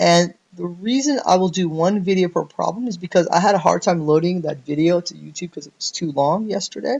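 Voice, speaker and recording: A man with a high pitch, ordinary pitch variation, a fairly quick pace and hardly any pauses. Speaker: programming teacher. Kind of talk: tutorial. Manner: fast.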